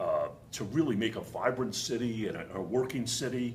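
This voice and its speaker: A man with a Boston accent is heard over noticeable background noise, with audible room echo. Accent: thick Boston. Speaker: distillery founder. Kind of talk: interview.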